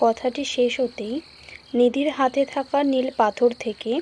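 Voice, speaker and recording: Against background music, a woman talks in a high pitch with monotone, flat intonation. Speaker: voice-over artist. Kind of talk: read story narration.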